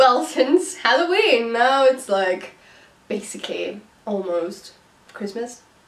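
Amid noticeable background noise, a woman speaks very slowly in a fairly high pitch with very wide pitch swings. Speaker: singer-songwriter YouTuber. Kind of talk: casual vlog talk to viewers.

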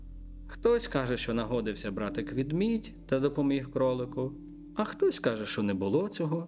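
What you hear here is an unforced reading voice.

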